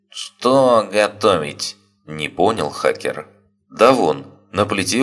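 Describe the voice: Against quiet surroundings, someone does plain reading aloud.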